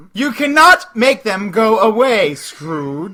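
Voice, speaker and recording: Put-on character voice, fairly high in pitch with very wide pitch swings, at a fairly slow pace. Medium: audio drama. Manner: solemn, commanding.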